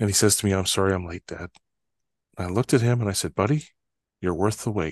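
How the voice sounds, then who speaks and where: A man with a Canadian accent, fairly low-pitched, with ordinary pitch variation and a very fast pace, in a dry, close sound with no echo over a quiet background. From northern Canada. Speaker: trust expert and author. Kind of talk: interview conversation.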